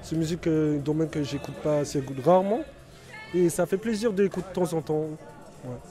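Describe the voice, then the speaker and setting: Fairly quick pace over music in the background. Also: man. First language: English (speaking French). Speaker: prison inmate. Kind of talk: interview. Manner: halting, repeating words.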